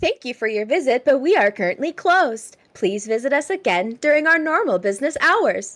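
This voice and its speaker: A woman uses a put-on, robotic character voice, high-pitched and at a moderate pace. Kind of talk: polite corporate recorded message. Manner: robotic, mechanical.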